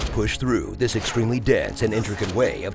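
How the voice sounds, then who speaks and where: Music playing behind a man's speech. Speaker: voice actor, trailer narrator. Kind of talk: comedic movie trailer narration. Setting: studio.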